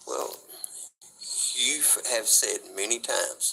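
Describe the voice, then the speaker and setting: A man speaks over noticeable background noise. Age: 40s. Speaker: street interviewee, ex-prisoner. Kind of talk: casual interview conversation.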